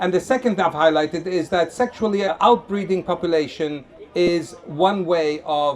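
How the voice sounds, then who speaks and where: Over crowd noise in the background, a man speaks loudly at a high pitch. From Lebanon. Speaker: street evangelist. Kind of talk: street debate with audience. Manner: animated.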